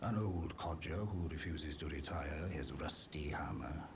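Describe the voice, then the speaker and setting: A man speaks in a put-on character voice with a very deep, low pitch. His pace is fairly slow, and loud background noise runs underneath. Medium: video game. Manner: polite, gentle, wry.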